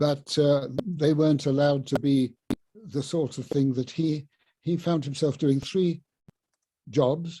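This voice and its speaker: This man has a southern English accent, a dark, mellow tone and a somewhat breathy, fairly high pitch. He talks at a fairly slow pace with fairly even intonation. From southern England, Sussex. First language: Luganda. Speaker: professor emeritus of linguistics. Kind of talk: illustrated talk.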